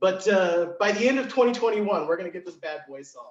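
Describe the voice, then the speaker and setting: Loud and energetic in tone, a man with a high pitch talks at a moderate pace with ordinary pitch variation. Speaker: event MC. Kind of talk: virtual event hosting.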